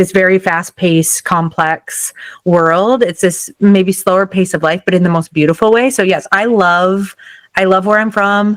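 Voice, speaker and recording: In a Midwestern accent, a woman speaks fairly slowly at medium pitch with ordinary pitch variation, the sound dry and close with no echo. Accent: Midwest. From western North Dakota. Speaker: social media comedian. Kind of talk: casual interview chat.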